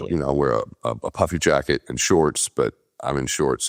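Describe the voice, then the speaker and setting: A man's very deep, low voice with vocal fry, dry and close with no echo. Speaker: podcast host; former Olympic swimmer. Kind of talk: casual podcast conversation.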